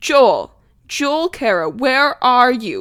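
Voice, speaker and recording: A woman puts on a character voice, high and shrill. Her pitch swings very widely. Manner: angry, calling out.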